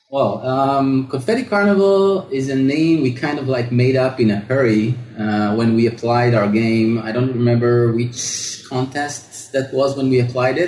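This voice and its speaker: Noticeable background noise underlies this man's medium-pitched voice. He keeps a moderate pace with hardly any pauses and ordinary pitch variation. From Israel. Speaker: indie game developer. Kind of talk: interview.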